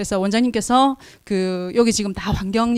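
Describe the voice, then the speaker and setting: A woman's voice at a medium pitch with ordinary pitch variation. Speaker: researcher presenting at forum. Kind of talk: conference presentation. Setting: conference hall with audience. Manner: speeds up and uses dialect when nervous; halting, many fillers.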